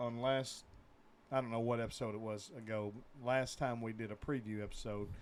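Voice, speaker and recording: Speaking with an Arkansas accent, a man keeps a medium pitch and fairly even intonation. He talks at a fairly quick pace. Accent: US Southern (Arkansas). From Northeast Arkansas (Truman, near Jonesboro). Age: 40s. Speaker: sports podcast co-host. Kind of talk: casual chat.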